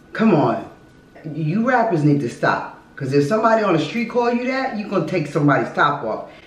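Over audible room echo, a woman speaks at a fairly quick pace in an animated tone with very wide pitch swings. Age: 50s. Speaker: host's mother reacting to music video. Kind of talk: casual chat. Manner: animated, stammering. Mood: disapproving, indignant. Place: home room. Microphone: camera far.

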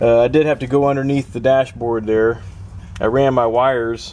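The man's intonation is flat and monotone. His pace is moderate. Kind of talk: tutorial. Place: car. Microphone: phone near.

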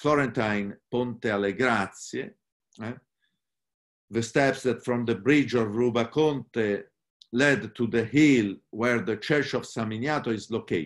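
Very slowly, a man speaks. He has an Italian accent. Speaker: literature professor. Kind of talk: lecture.

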